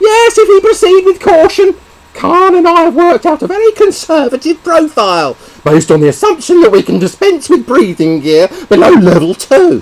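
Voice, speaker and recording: A man puts on a character voice, pitched extremely high. He talks at a moderate pace. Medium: read story. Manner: brisk, firm.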